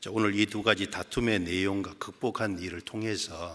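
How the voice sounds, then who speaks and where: Speech comes at a fairly slow pace. Its tone sounds bright and sharp. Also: man. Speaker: preacher. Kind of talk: sermon. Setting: church.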